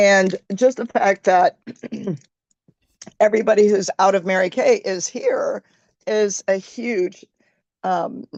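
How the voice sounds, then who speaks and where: Very slow speech with long, frequent pauses, in a dry, close sound with no echo. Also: woman, medium pitch for a woman, ordinary pitch variation. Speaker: network marketing sales director. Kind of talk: casual testimony.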